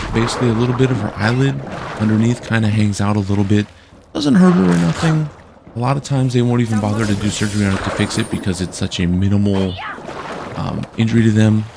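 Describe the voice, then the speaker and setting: A man talks at a very fast pace in a fairly low voice. Noticeable background noise is present. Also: ordinary pitch variation. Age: 30s. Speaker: gaming YouTuber. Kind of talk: casual let's play commentary. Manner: casual, rambling.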